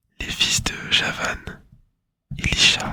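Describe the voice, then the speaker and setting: A man is whispering. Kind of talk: whispered ASMR Bible reading. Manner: whispered, soft.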